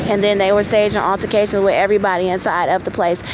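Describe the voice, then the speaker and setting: Against noticeable background noise, a woman speaks at a very fast pace and medium pitch, in a monotone, flat intonation. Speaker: vlogger. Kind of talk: personal testimony. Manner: halting.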